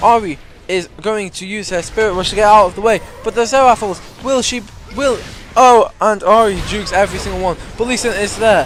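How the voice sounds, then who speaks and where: Amid crowd noise in the background, a man speaks at a high pitch and fairly quick pace with ordinary pitch variation. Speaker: game shoutcaster / commentator. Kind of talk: esports-style shoutcast commentary.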